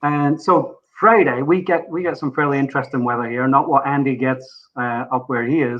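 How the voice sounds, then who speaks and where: A Scottish accent at a moderate pace, with ordinary pitch variation and hardly any pauses. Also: man, fairly high pitch for a man. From Scotland. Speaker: podcast guest, motorsport fan. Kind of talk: casual chat.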